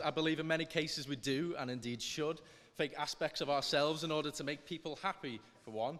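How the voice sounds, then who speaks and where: A man speaks at a fairly quick pace in a fairly high pitch with ordinary pitch variation, over noticeable background noise. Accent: Liverpool. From northern England, Liverpool. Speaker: student debate speaker. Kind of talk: formal debate speech. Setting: stage with audience. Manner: halting.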